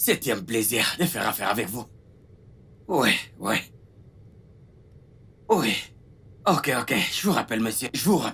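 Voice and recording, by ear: A man puts on a character voice with a husky, rough edge, a medium pitch and a fairly bright tone. He goes fairly slowly with big pitch swings and long, frequent pauses.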